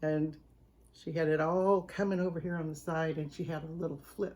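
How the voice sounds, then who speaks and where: Her pitch is very deep and low, and she has an American accent. The woman keeps a moderate pace. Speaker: home cooking channel host. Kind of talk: casual storytelling to camera; video sign-off. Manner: animated.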